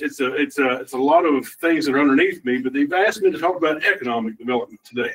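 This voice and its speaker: A man with a strong Kentucky accent at a very fast pace, his pitch swinging very widely. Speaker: community development director, former elected official. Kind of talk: presentation to a council meeting. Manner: casual, joking.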